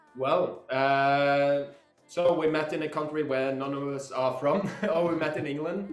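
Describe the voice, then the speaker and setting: Amid audible room echo and music in the background, a fairly high-pitched man with a Norwegian accent speaks in a monotone, flat intonation at a fairly slow pace. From Norway. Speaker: musician. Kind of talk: interview.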